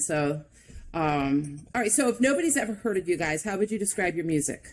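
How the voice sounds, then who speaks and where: A woman speaks at a very fast pace. Her pitch swings very widely. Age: 40s. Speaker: podcast host. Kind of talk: casual interview chat.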